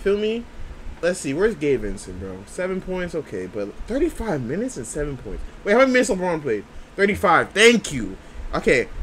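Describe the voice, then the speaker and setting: A man's voice with big swings in loudness, over light background noise. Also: moderate pace. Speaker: sports reaction YouTuber, Lakers fan. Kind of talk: casual reaction commentary to game highlights. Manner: animated, excitable, slangy, repeats catchphrases. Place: home room.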